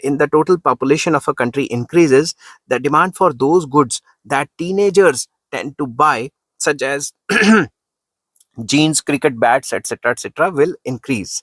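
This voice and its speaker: Putting on a character voice, a man sounds hoarse at a fairly high pitch. He talks at a fairly quick pace. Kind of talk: lecture. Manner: teaching, explaining.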